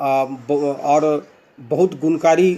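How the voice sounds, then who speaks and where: The speaker is a man with a fairly high pitch. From Bihar, India (Bhagalpur). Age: 60s. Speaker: retired bank manager, product user. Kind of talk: testimony. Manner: halting, many fillers.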